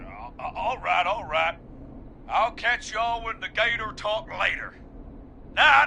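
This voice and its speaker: In a put-on character voice, a man drawls at an extremely high pitch with lively intonation and a fairly slow pace. Long, frequent pauses break up his speech over clear background noise. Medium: video game. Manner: casual, drawling, says "man" a lot.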